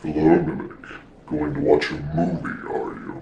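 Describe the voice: Putting on a booming character voice, a man speaks at a moderate pace.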